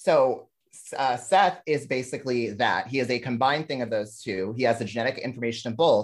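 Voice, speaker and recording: On a very clean recording with a silent background, a man speaks at a fairly quick pace and medium pitch. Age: 30s. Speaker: drag comedy performer. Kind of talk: casual chat. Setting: call. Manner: loud.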